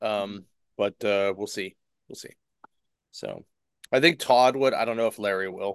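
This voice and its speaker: The recording is dry and close with no echo as a man speaks with a fairly low pitch and fairly even intonation. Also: quiet background. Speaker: comics podcast co-host. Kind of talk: casual chat.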